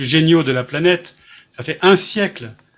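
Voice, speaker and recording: This is a man in an ordinary speaking voice, fairly high in pitch with ordinary pitch variation. He talks at a fairly slow pace. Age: 60s. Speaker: author. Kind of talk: interview.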